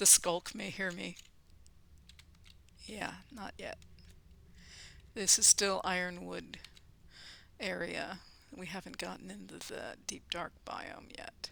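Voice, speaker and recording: Speaking at a very slow pace, a woman leaves long, frequent pauses while her loudness swings widely. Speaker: gaming YouTuber. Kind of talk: let's play commentary. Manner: hesitant, many fillers; whispering at times.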